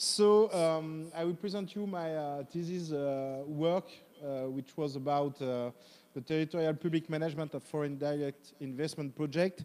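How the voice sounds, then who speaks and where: A man speaks with a strong French accent at a fairly high pitch and a moderate pace. His tone is dark and mellow, and his intonation is fairly even. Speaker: professor, academic presenter. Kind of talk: academic presentation. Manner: halting, many fillers.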